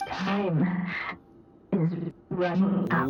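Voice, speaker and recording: A put-on character voice at a middle pitch, with slight echo. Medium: game stream.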